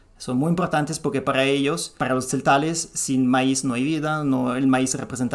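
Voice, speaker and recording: A man with a fairly high pitch speaks amid noticeable background noise. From Italy. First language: Italian (speaking Spanish). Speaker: podcast guest speaking about traditional medicine. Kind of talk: explanatory interview talk. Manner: halting, with many fillers and restarts.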